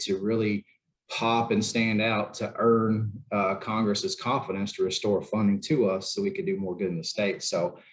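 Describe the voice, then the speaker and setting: The delivery is monotone, with flat intonation. It comes in a Southern US accent. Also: man. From Tennessee (Chattanooga). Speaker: federal program official. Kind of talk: panel discussion.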